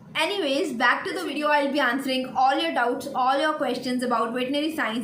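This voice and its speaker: Speech comes at a fairly quick pace with ordinary pitch variation. Audible room echo and noticeable background noise are present. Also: woman. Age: 20s. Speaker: veterinary student YouTuber. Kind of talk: Q&A vlog.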